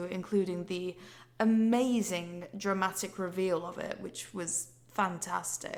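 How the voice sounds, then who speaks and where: This woman speaks in a northern English accent at a very slow pace. Her intonation is fairly even. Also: medium pitch for a woman. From Yorkshire, England.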